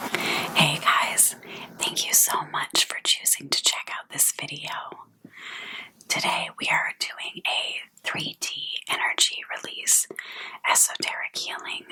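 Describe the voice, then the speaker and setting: Whispering at a very slow pace, a woman leaves long, frequent pauses amid noticeable background noise. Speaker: energy healer. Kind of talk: ASMR spiritual healing talk. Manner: soft-spoken.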